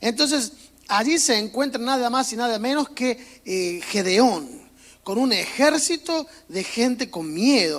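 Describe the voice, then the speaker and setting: In a strong Córdoba Argentine accent, a man with an extremely high pitch talks at a fairly slow pace with lively intonation. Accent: strong Cordoba Argentine. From Argentina, Córdoba. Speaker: pastor. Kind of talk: sermon. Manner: casual, humorous preaching.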